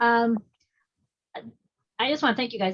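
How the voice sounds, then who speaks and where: Somewhat breathy and fairly high-pitched, a woman speaks with fairly even intonation. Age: 60s. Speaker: audience member asking a question. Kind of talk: Q&A question at online community meeting. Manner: halting.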